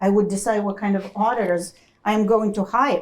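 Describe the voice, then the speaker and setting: A woman at a medium pitch. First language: not English. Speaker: accounting educator, former corporate finance professional. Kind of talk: panel Q&A talk.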